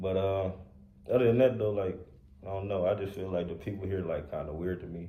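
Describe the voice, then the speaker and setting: Audible room echo surrounds a man with a very deep, low pitch. He talks at a fairly quick pace with fairly even intonation. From Louisiana, small town. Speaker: podcast co-host. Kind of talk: casual chat. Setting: podcast recorded on camera.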